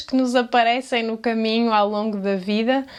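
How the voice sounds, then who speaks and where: A woman is speaking here. Her pitch sits fairly high, with a European Portuguese accent. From Portugal. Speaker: language teacher. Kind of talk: casual talk to camera.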